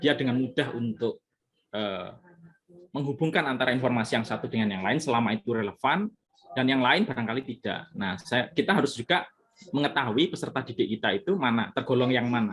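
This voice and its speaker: Lively intonation marks this man's speech. His pace is fairly quick. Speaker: lecturer presenting at a teacher workshop. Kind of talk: workshop Q&A discussion.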